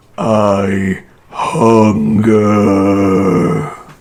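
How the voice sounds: Over an audible echo, a man performs a put-on character voice at a fairly low pitch.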